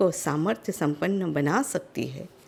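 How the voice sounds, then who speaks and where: A woman is recorded very cleanly against a silent background. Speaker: interview show host. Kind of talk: show introduction to camera.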